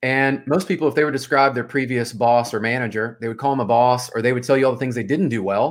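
A man with an American accent speaks at a very fast pace, hardly pausing at all, at a medium pitch with ordinary pitch variation. The recording is very clean, with a silent background. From US South, Memphis, Tennessee. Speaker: mortgage sales executive and former pro soccer player. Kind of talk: podcast interview. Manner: casual.

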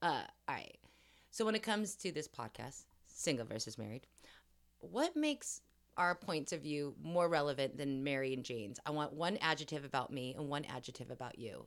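A woman's very deep, low voice with a Californian accent and lively intonation. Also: moderate pace. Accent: Californian American. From Los Angeles area. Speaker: podcast co-host, actress. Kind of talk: casual chat.

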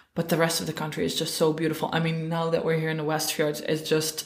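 A woman's fairly low voice in a Dutch accent, with music in the background. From Netherlands. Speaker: horse riding guide and photographer. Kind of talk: casual chat.

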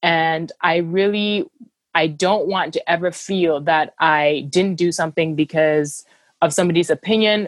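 A woman with an unremarkable speaking voice talks at a moderate pace, her pitch fairly low, in a dry, close sound with no echo. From Cameroon, moved to the US at about 13. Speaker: humanitarian worker and travel writer. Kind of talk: casual interview. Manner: frequent fillers and restarts.

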